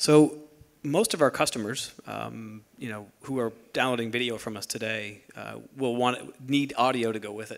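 A man talks at a moderate pace with fairly even intonation. His loudness swings widely. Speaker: tech company product executive. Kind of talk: panel discussion. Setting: stage with audience. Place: stage. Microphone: handheld.

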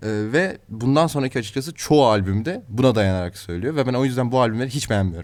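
This man talks at a very fast pace with hardly any pauses. His voice sits at a medium pitch and has lively intonation. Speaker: student radio host. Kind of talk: casual chat.

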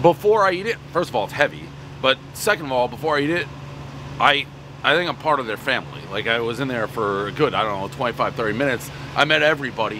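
Very fast speech in a dry sound with no echo, over noticeable background noise. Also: man. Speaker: food reviewer. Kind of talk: casual review commentary. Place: street.

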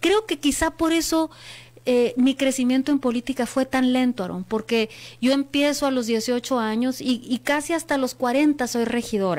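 With ordinary pitch variation, a woman speaks at a high pitch and a fairly slow pace. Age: 40s. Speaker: politician. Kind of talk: interview. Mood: earnest, reflective. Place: studio. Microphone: studio mic.

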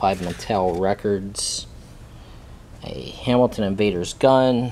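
This man's voice sits fairly low and has a dark, mellow tone.

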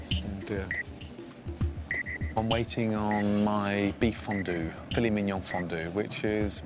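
A man speaks very slowly, with a dry sound and no echo. Clear music plays in the background. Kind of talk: casual spoken comments at the table. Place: cafe. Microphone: lapel.

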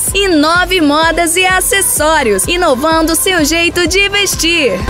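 A woman projects her voice at an extremely high pitch, speaking at a very slow pace with lively intonation. The sound is dry with no echo, and clear music plays in the background. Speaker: voice actor (announcer). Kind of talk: TV/radio-style commercial read for a clothing store. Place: studio.

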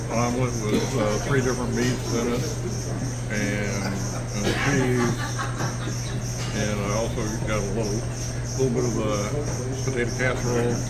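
With music playing in the background, a man speaks with long, frequent pauses. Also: moderate pace. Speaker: guest. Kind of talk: casual food review chat. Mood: relaxed, content. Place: cafe.

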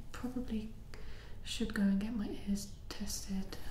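A soft-spoken voice moves at a fairly slow pace, with audible room echo and light background noise. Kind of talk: roleplay dialogue. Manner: soft, quiet ASMR voice. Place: home room.

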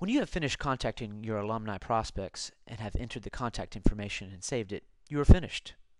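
With a plain, everyday voice, a man of fairly low pitch talks at a fairly quick pace over a quiet background. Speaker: university staff narrating a tutorial. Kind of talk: tutorial.

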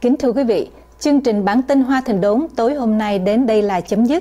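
With ordinary pitch variation, this woman talks in a somewhat breathy voice. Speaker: TV news presenter. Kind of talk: news presenter introduction and sign-off. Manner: formal. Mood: formal, calm. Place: studio.

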